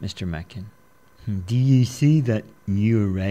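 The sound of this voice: Ordinary ups and downs of pitch within an unforced reading voice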